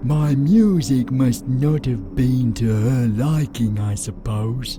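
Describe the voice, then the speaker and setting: Over loud background noise, a man puts on a character voice at a medium pitch and speaks very slowly. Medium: machinima. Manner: blustering but fearful.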